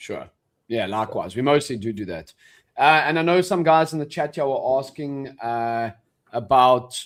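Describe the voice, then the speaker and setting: With a South African accent, a man talks at a moderate pace in a fairly high pitch, his intonation lively and the recording very clean with a silent background. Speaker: day trader and stream co-host. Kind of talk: casual chat on live trading stream. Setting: live stream.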